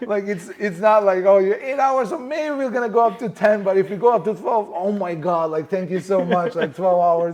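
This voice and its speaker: With a Macedonian accent and an animated tone, a man speaks in a high pitch with ordinary pitch variation. His moderate pace leaves hardly any pauses. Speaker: film producer and director. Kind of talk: casual interview.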